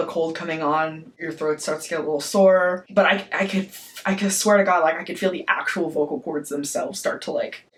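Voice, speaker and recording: The speaker is a man with a high pitch. His intonation is fairly even. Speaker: vlogger. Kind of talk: casual vlog. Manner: casual, many fillers.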